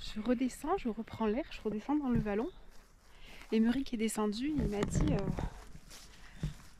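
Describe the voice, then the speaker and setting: The speech moves at a fairly slow pace. Noticeable background noise can be heard. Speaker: nature and cooking vlogger. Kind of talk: casual vlog narration. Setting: outdoors in a valley. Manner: soft-spoken; hesitant, many fillers.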